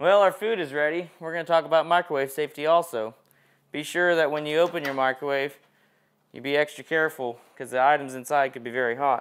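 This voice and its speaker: Very fast speech from a man, with ordinary pitch variation. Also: quiet background. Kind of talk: safety demonstration tutorial. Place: kitchen.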